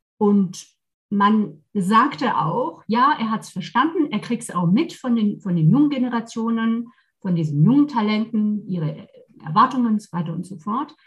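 In a normal speaking voice, the speaker keeps a moderate pace with lively intonation and big swings in loudness. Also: woman, fairly high pitch for a woman. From France, Versailles near Paris. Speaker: leadership coach and trainer. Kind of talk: casual interview chat.

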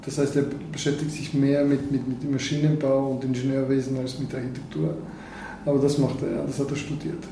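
Amid noticeable background noise and audible room echo, a man speaks at a moderate pace with fairly even intonation. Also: fairly high pitch for a man. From Bulgaria. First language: Bulgarian (speaking German). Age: 50s. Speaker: neurosurgeon. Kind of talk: interview. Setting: in his office.

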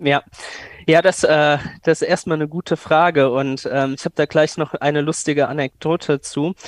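A man speaks at a fairly high pitch and a moderate pace in a monotone, flat intonation. The sound is dry and close with no echo against a quiet background. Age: 20s. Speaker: AI startup founder. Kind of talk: interview.

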